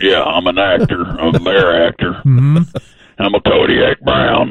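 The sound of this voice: Putting on a character voice, a man talks at a fairly slow pace with a fairly low pitch.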